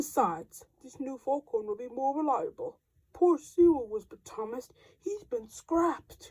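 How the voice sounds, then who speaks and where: A woman uses a put-on character voice pitched high. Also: moderate pace. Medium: read story. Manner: authoritative.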